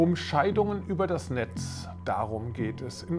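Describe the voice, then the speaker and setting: A man speaks with music in the background. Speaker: show host presenting a tech magazine. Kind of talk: TV presenter intro.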